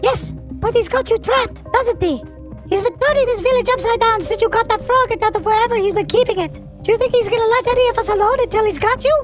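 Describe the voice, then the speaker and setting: Put-on character voice at an extremely high pitch and very fast pace, with clear music in the background. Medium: machinima. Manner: anxious, skeptical.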